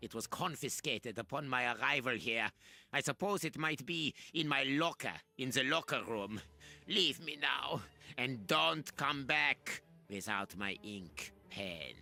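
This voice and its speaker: A man puts on a character voice at a medium pitch, with very wide pitch swings. He goes at a fairly slow pace while music plays in the background. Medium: video game. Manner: arrogant, theatrical.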